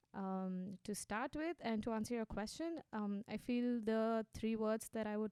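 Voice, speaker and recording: A woman with an Indian accent speaks at a fairly slow pace and fairly high pitch, with ordinary pitch variation, a dark, mellow tone and a dry, close sound with no echo. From India, Gujarat (Ahmedabad). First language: Hindi. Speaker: social entrepreneur. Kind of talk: interview.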